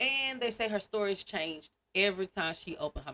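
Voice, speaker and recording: Her medium-pitched voice has a bright, sharp tone and lively intonation, delivered with an American accent at a fairly quick pace. The sound is dry and close, with no echo. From Louisiana. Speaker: podcast host. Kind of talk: casual storytelling podcast. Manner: fast; animated.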